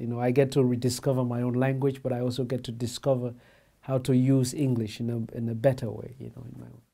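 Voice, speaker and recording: Speaking at a fairly quick pace, a man delivers his words in a flat monotone with a dark, mellow tone. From Sierra Leone. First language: Mende. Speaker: writer. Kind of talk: interview answers. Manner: hesitant, many repetitions.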